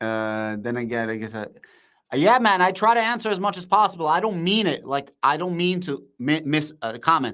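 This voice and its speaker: A loud, shouting man with an American accent, fairly quick, fairly high-pitched, bright and sharp in tone, with very wide pitch swings. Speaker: crypto and stock market streamer. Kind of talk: live stream commentary and chat reading. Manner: animated.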